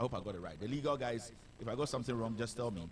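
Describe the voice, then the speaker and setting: A somewhat breathy man's voice at a medium pitch. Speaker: online news show host.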